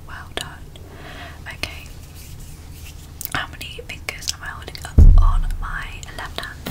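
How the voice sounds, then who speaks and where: The speaker is whispering at a very slow pace. She is a woman. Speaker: ASMR creator. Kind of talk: ASMR personal attention instructions. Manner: whispered. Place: home room. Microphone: studio mic.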